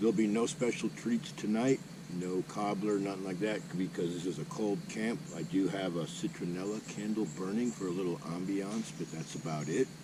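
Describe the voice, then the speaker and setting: In a normal speaking voice, a man with a fairly low pitch talks at a moderate pace with lively intonation and hardly any pauses. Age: 60s. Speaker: motorcycle camping vlogger; Marine veteran. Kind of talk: casual vlog talk to camera. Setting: outdoors at campsite.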